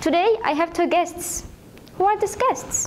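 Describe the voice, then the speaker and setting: A woman talks at a fairly slow pace while noticeable background noise runs underneath. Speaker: youth TV presenter. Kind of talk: casual interview show. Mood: friendly, upbeat. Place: studio.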